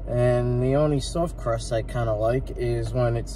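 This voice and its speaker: A man talks at a fairly slow pace. Noticeable background noise is present throughout. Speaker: food reviewer. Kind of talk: casual food review vlog. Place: car. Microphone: phone near.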